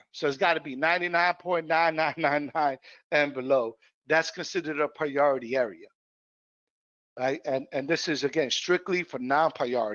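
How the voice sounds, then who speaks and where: Here a man with a plain, everyday voice speaks at a moderate pace, his fairly high pitch showing ordinary pitch variation. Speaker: housing program trainer. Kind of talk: training webinar.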